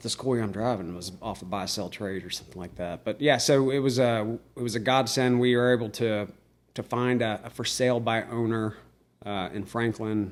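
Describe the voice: Speaking at a moderate pace, the man has a fairly low voice. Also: fairly even intonation.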